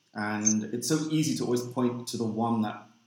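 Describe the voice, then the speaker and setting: Speaking at a moderate pace, a man talks with a London accent. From London, England. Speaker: inclusion consultant. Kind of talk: casual chat.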